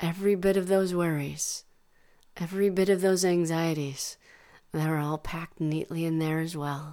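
A woman speaks in a fairly low pitch with a dark, mellow tone. Her soothing, calm tone stays in a monotone, flat intonation. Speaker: meditation guide. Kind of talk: guided meditation. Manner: slow, soothing, calm; soft-spoken, gentle, unhurried.

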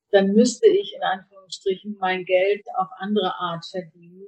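A woman's medium-pitched, somewhat breathy voice at a very slow pace. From northern Germany, Kiel. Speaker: organic food importer, former journalist. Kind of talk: interview.

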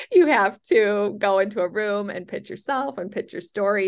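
With an American accent and some vocal fry, a woman speaks at a medium pitch with ordinary pitch variation against a quiet background. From Chicago. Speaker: novelist and screenwriter. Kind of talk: interview. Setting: phone call. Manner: animated.

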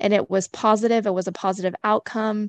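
A woman in a normal speaking voice talks at a fairly quick pace and fairly high pitch with fairly even intonation, in a dry, close sound with no echo. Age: 30s. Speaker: manager. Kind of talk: casual chat.

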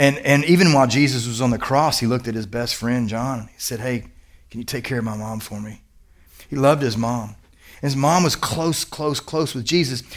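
A man talks at a fairly quick pace and a medium pitch, with ordinary pitch variation, big swings in loudness, and audible room echo. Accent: Kentucky. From Kentucky. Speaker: pastor. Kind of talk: sermon. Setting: church service with congregation. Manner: animated, conversational.

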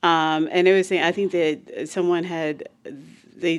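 An unremarkable speaking voice from a woman, fairly low in pitch, at a moderate pace on a very clean recording with a silent background. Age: 40s. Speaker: podcast co-host. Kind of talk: casual chat.

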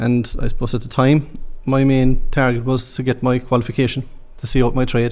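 In a Cork accent, a man at a medium pitch talks at a fairly quick pace with flat, monotone intonation. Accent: Cork Irish. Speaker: construction manager. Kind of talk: interview.

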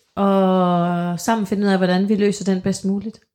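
A very clean recording with a silent background, carrying a woman's voice at medium pitch. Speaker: podcast co-host. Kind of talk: casual chat.

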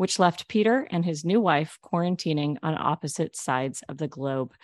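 A normal speaking voice moves at a fairly quick pace. The sound is dry and close with no echo, over a quiet background. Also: woman. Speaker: podcast host. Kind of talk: interview.

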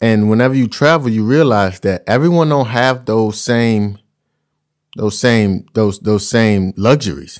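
At a fairly slow pace, a man speaks in a medium pitch. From Louisiana, US South. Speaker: podcast host and professional basketball player. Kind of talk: solo podcast monologue. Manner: casual.

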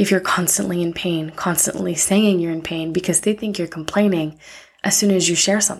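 On a very clean recording with a silent background, a woman speaks at medium pitch. Her intonation is monotone and flat. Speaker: podcast host. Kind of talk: unscripted personal monologue.

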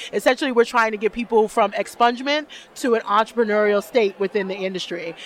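Over noticeable background noise, a woman with a New York accent talks very fast in a fairly high pitch. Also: ordinary pitch variation. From Brooklyn, New York (East New York). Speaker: cannabis executive and advocate. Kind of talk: interview. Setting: expo show floor.

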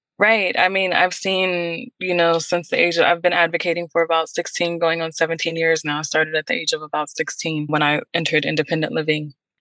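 A woman with an American accent talks at a fairly quick pace, her fairly low voice holding a fairly even intonation with hardly any pauses. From Pittsburgh, Pennsylvania. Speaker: podcast host and youth program director. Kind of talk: interview.

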